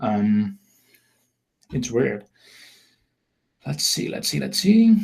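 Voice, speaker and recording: With a Dutch accent, a man talks at a very slow pace. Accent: Dutch accent, noticeable. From Netherlands. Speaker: online marketing trainer. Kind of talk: webinar sales presentation. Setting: live webinar. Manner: halting, many repetitions and fillers.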